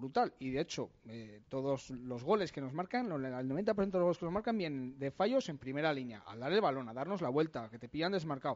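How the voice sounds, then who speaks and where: With an unremarkable speaking voice, a man talks at a fairly quick pace with lively intonation over a quiet background. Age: 30s. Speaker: football pundit. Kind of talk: casual chat.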